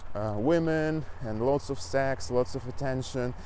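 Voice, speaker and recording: Speaking at a fairly slow pace, a man with a Russian accent uses ordinary pitch variation. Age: 20s. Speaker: fitness coach and language learner vlogger. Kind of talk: casual vlog monologue. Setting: outdoors, riding a bike. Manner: halting.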